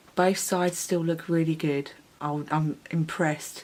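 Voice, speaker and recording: Quiet and monotone, a woman speaks with flat intonation at a very deep, low pitch. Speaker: beauty vlogger. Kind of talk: makeup review vlog. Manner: casual, hesitant with fillers; speaking quietly late at night.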